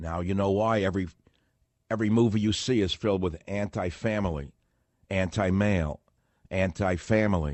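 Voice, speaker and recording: With long, frequent pauses, a man speaks at a moderate pace in a fairly low pitch with fairly even intonation. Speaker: talk radio host. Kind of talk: political talk radio monologue. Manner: ranting, emphatic.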